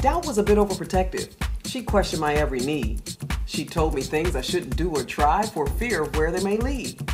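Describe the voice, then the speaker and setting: The speech moves at a fairly quick pace with music playing in the background. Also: woman. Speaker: author and broadcaster. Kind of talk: spoken word poetry over house music. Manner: inspirational.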